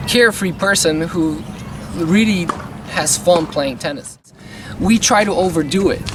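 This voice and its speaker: A man with a high pitch speaks at a fairly slow pace, leaving long, frequent pauses. Noticeable background noise sits behind him. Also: ordinary pitch variation. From Bulgaria. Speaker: tennis coach. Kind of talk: casual talk to camera.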